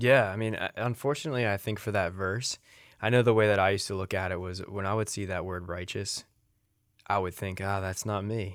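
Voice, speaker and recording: Using an ordinary speaking voice, a man with an American accent talks fairly quickly at a fairly low pitch with fairly even intonation. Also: very clean recording, silent background. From Salem County, southern New Jersey. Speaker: radio co-host. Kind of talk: casual faith talk on radio. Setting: radio studio.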